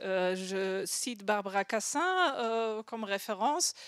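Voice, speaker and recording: A woman speaks with a strong non-native accent. The recording is very clean, with a silent background. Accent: strong foreign accent in French. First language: not French (speaking French). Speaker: design researcher, conference speaker. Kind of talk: conference talk. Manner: halting, many fillers and repetitions.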